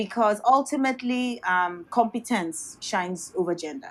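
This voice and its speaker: This woman has a Yoruba accent. Her intonation is lively. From Nigeria. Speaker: architect and product designer. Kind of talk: interview. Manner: hesitant, many fillers.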